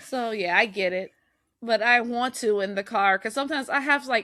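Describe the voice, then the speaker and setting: Fairly high in pitch with a bright, sharp tone, a woman is heard on a very clean recording with a silent background. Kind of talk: casual chat.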